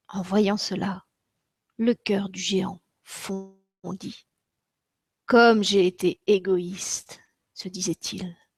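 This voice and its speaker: A woman's voice sounds dry and close with no echo, while music plays in the background. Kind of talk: children's story reading.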